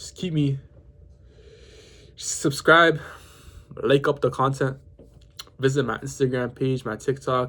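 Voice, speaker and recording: A man's fairly high, somewhat breathy voice with a Toronto accent, flat monotone intonation and a moderate pace. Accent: Canadian (Toronto) English. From Toronto, Canada. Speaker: vlogger. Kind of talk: casual talk to camera. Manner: halting, self-correcting.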